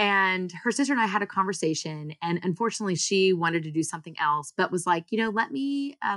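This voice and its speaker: Speaking very fast with lively intonation, a woman with an American accent uses a medium pitch. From US, partly Singapore. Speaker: startup founder and CEO. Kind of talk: interview.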